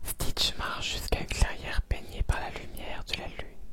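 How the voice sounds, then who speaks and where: Against noticeable background noise, a man whispers in a calm tone at a moderate pace. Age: 20s. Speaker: ASMR content creator. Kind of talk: ASMR bedtime story reading. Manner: soft, calm, relaxing.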